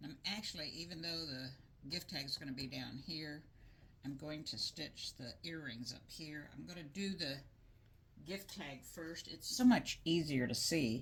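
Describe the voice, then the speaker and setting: A woman's very deep, low voice, somewhat breathy, with big swings in loudness, ordinary pitch variation, and a moderate pace. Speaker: craft tutorial maker. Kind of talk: tutorial. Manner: casual, hesitant with fillers. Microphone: mic far from speaker, voice not picked up well.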